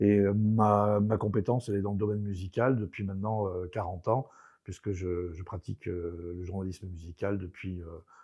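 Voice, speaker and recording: A man's fairly low voice with a dark, mellow tone and fairly even intonation, on a very clean recording with a silent background. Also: moderate pace. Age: 60s. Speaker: radio music journalist. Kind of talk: interview.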